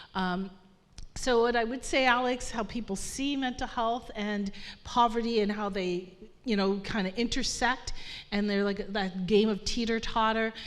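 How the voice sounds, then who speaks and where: Amid audible room echo, a woman with a fairly high voice speaks at a moderate pace. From Nova Scotia, African Nova Scotian community. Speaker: panelist on poverty and mental health. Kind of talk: panel discussion. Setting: stage with live audience. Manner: animated.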